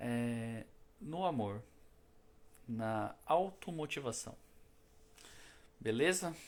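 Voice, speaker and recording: A man speaks at a very slow pace with lively intonation. His speech has long, frequent pauses. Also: medium pitch for a man. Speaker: spiritist lecturer. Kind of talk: spiritual talk. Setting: live stream. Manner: casual, conversational.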